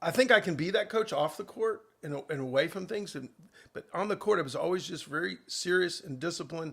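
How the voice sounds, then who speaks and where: This is a man talking. His pitch varies in an ordinary way. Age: 60s. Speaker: tennis coach. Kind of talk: interview. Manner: halting.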